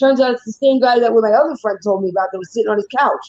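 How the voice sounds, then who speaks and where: A very fast, animated delivery with a New York accent. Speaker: live stream co-host. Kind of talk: casual chat.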